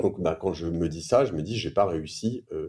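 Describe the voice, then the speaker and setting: This man's dark, mellow tone moves at a moderate speed, its pitch varying in an ordinary way. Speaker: entrepreneur and podcaster. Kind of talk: interview answer. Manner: casual, hesitant.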